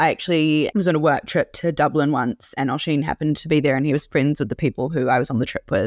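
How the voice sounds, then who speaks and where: A woman with a New Zealand accent talks at a very fast pace with hardly any pauses, her pitch very deep and low with ordinary variation. The sound is dry and close with no echo, on a very clean recording with a silent background. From New Zealand (Auckland). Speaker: food podcast host. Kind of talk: casual recommendations monologue.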